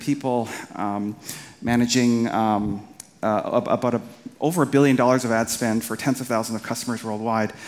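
A man speaks at a moderate pace with fairly even intonation, faint music playing in the background. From Canada, Winnipeg; Manitoba, Canada. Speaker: marketing entrepreneur and conference speaker; conference speaker. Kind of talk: conference talk. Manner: halting, many fillers and repeated words. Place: stage.

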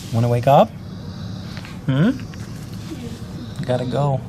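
Slowly, a man speaks at a medium pitch in a dark, mellow tone. Faint background noise can be heard.

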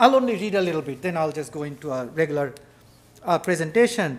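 Lively intonation marks this man's speech. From India. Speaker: photographer and writer; speaker. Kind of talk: lecture. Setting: stage with audience. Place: hall. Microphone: podium.

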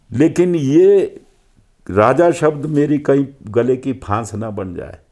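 A man talks at a very slow pace in a dark, mellow tone with ordinary pitch variation. The background is quiet. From Himachal Pradesh, Kullu; Himachal Pradesh. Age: 70s. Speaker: veteran politician; politician interviewee. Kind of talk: interview. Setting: at his residence. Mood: relaxed, smiling. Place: home room. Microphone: lapel.

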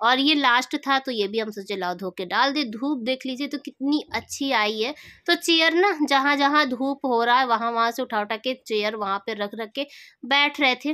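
A woman's raised, projected voice, high in pitch with a bright, sharp tone, at a moderate pace on a very clean recording with a silent background. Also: ordinary pitch variation. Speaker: family vlogger. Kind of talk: casual vlog narration.

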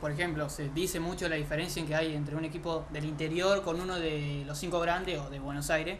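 Noticeable background noise sits under a high-pitched man who speaks at a fairly quick pace with fairly even intonation. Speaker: youth football channel host. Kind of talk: casual interview.

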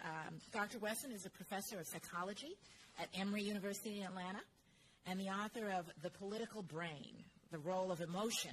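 A woman speaks at a fairly quick pace with ordinary pitch variation. Her voice is somewhat breathy, with light background noise. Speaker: conference host introducing speaker. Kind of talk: speaker introduction. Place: hall. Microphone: podium.

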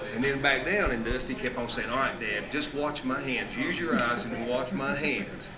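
Delivered at a fairly quick pace with ordinary pitch variation, the speech has noticeable background noise. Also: man. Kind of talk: casual storytelling chat. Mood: amused, laughing. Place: shop.

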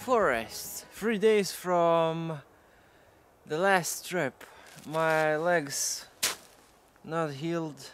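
A man with a high voice speaks at a very slow pace, leaving long, frequent pauses. The sound is dry with no echo, his pitch varies in an ordinary way, and music plays in the background. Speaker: outdoor vlogger. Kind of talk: casual vlog chat. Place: forest.

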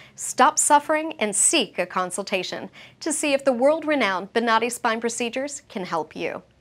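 Her intonation is lively and her pitch is high. The woman keeps a moderate pace. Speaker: show narrator and announcer. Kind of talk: scripted narration. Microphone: lapel.

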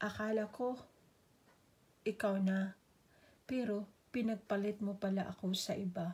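With long, frequent pauses, a woman speaks fairly slowly at a medium pitch, somewhat breathy and dramatic in tone, her intonation monotone and flat and her loudness very even. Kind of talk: spoken poetry; heartfelt personal monologue. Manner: emotive, slow and measured with dramatic pauses; wistful, tender, turning hurt then hopeful.

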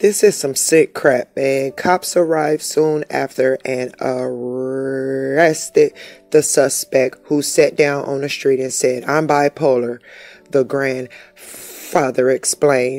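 With music in the background, a woman speaks at a very slow pace in a very deep, low pitch, with fairly even intonation and a dry, close sound with no echo. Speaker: YouTuber. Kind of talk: casual talk to camera, reading news story aloud. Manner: stutters.

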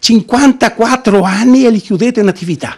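A man's high-pitched, animated voice at a fairly quick pace, quiet background. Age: 60s. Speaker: business owner's husband, activist. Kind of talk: interview. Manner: animated, emotional. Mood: indignant, pleading. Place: office. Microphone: handheld.

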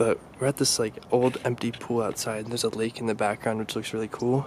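A man talks in a flat, monotone delivery. The sound is dry with no echo, over light background noise. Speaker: urban explorer vlogger. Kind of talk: casual vlog chat. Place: open country. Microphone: phone near.

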